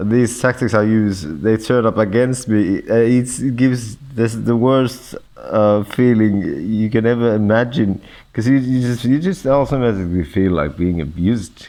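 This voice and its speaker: The man's voice has a dark, mellow tone with ordinary pitch variation. His loudness stays very even. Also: medium pitch for a man, moderate pace. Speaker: gamer vlogger. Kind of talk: monologue vlog. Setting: hospital room. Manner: halting, stammering.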